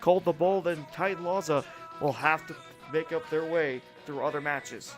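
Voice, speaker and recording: A man's fairly high voice at a moderate pace, with fairly even intonation and music in the background. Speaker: wrestling commentator. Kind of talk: sports commentary, play-by-play.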